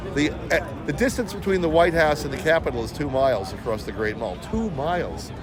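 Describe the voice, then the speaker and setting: A man with a fairly high pitch talks at a fairly quick pace, with very wide pitch swings and hardly any pauses. Audible room echo and noticeable background noise fill the recording. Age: 60s. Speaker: interviewee at a political event, salesman and actor. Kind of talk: street interview. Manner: halting, repeats words.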